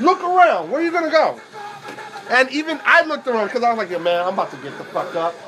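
A man's raised, projected voice in an American accent, extremely high-pitched and very fast, with very wide pitch swings over music in the background. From New York. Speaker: tattoo shop podcast co-host. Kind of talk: casual chat.

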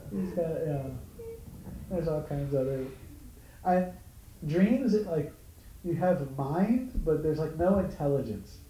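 A man with a fairly high pitch speaks at a fairly slow pace, using lively intonation and long, frequent pauses. Audible room echo and noticeable background noise surround him. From Hawaii, Honolulu. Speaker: spiritual teacher. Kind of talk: dharma talk to small group.

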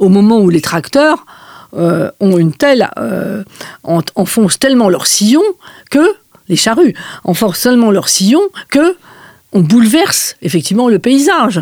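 A woman speaks at a fairly high pitch with very wide pitch swings. She leaves long, frequent pauses, and the sound is dry and close with no echo. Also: fairly slow pace. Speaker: medieval historian, emeritus professor. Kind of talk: interview. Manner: hesitant, many fillers.

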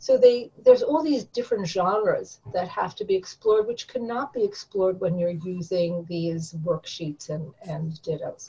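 A woman's dark, mellow, somewhat breathy voice at medium pitch, with lively intonation, a moderate pace and hardly any pauses. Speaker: college professor and former ESL teacher. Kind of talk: interview conversation.

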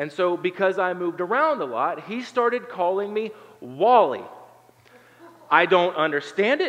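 A man with an American accent speaks in a high pitch with lively intonation at a moderate pace. Long, frequent pauses break up his speech, and there is noticeable background noise. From southern Ohio, Appalachia. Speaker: pastor. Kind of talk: sermon. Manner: hesitant fillers, conversational.

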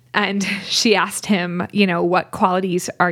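A woman speaks at a fairly slow pace with a medium pitch. Hers is an ordinary speaking voice. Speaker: psychology professor and podcast co-host. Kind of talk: casual conversational podcast.

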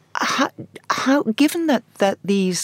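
A woman speaks with ordinary pitch variation, her sound dry and close with no echo. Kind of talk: radio panel discussion. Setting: studio. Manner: halting, many repetitions.

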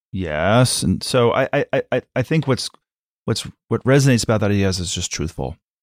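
Over a very clean recording with a silent background and a dry, close sound without echo, a man speaks at medium pitch and a moderate pace, with vocal fry and lively intonation. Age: 50s. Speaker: advertising creative director. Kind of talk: interview.

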